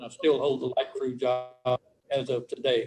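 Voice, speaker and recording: A man speaks with a Louisiana accent at a moderate pace. His pitch is fairly high. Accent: Louisiana Southern US. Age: 70s. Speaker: parole applicant. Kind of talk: parole hearing statement read from notes.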